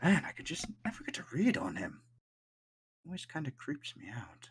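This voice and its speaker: A man whispers and mumbles in a put-on character voice. His pace is moderate. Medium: actual play. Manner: mumbling.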